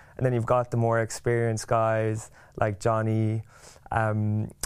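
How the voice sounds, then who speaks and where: With an Irish accent, a man speaks at a moderate pace in a medium pitch. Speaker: rugby player. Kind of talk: casual chat.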